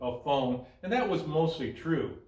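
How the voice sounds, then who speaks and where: A man's voice against noticeable background noise. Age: 70s. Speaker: motorcycle rider. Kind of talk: casual talk to camera, gear review. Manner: hesitant, relaxed.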